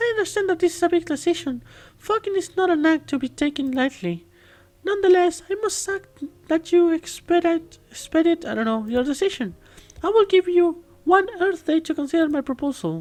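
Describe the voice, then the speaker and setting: A put-on character voice that sounds female, squeaky and pitched extremely high for a woman. It moves at a moderate pace with long, frequent pauses. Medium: game stream. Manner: formal, stiff alien phrasing.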